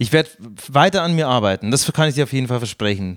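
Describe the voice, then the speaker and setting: A man with a medium-pitched voice and very wide pitch swings, recorded very cleanly against a silent background, with a dry, close sound and no echo. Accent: Bavarian. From Bavaria. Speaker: podcast host. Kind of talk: comedic podcast chat.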